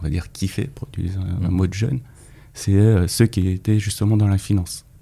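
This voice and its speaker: A man speaks with a dark, mellow tone that is somewhat breathy. His pitch variation is ordinary. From Paris, France. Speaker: former trader, finance commentator. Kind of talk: casual interview. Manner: halting, many repetitions.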